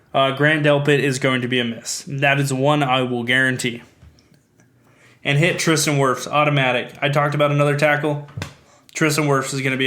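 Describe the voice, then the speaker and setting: A man talks at a fairly quick pace with a bright, sharp tone and fairly high pitch. Room echo can be heard around him. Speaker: sports podcast host. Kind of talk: solo sports podcast commentary. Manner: fast.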